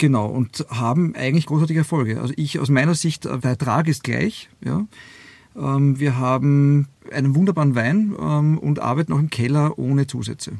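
Speaking at a moderate pace, a man uses a fairly high pitch. His pitch variation is ordinary. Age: 50s. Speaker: winemaker, former airline pilot. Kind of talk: interview. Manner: halting, many fillers.

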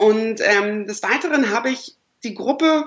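A woman with an ordinary speaking voice, fairly high in pitch, with lively intonation. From northern Germany, Lower Saxony (Lüneburg/Uelzen). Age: 20s. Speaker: dating platform founder. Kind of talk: podcast interview.

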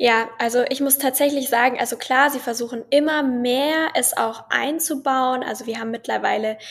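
Her voice is high-pitched, with fairly even intonation and a moderate pace. The recording is very clean, with a silent background. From Bavaria (Munich). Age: 20s. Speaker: medical student and social media creator. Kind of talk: casual interview.

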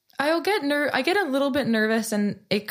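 The recording is very clean, with a silent background. A woman with a Californian accent speaks at a moderate pace with lively intonation. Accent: Californian American English. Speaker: singer-songwriter. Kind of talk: casual interview chat.

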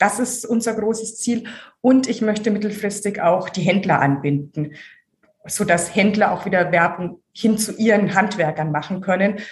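In a Franconian accent, a woman speaks at a moderate pace and medium pitch, sounding somewhat breathy. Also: ordinary pitch variation. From Franconia, Germany (Hof). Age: 40s. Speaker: marketing director. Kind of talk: interview.

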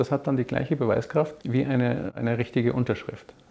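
With vocal fry at a medium pitch, a man speaks at a fairly quick pace. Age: 60s. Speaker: business owner. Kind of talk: interview.

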